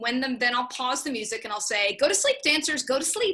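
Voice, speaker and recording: Against a quiet background, a woman speaks with a high pitch and a bright, sharp tone. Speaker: drama teacher for young children. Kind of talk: workshop presentation. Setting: video call. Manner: fast.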